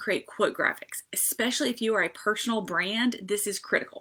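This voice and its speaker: A woman with a Southern US accent speaks in a fairly high pitch at a moderate pace. Her tone is bright and sharp. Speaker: social media marketing consultant. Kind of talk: live stream tutorial. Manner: casual, many fillers.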